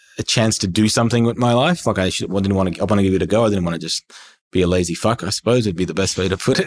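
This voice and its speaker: Pitched fairly low, a man talks in an Australian accent. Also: very clean recording, silent background. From Iran, moved to Australia at nine. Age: 30s. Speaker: entrepreneur. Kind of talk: casual interview chat.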